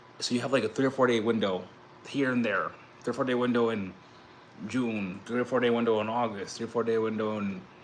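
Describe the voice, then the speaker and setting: A man with an American accent talks at a very fast pace and a medium pitch. His intonation stays fairly even, and background noise is noticeable. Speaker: crypto YouTuber and blockchain entrepreneur. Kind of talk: casual livestream talk. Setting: livestream. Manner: fast, rambling with restarts.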